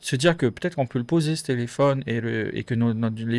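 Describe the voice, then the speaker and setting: A man's medium-pitched voice at a fairly quick pace, with ordinary pitch variation, on a very clean recording with a silent background. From French Polynesia. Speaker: podcast guest. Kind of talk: casual interview chat. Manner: hesitant, many fillers.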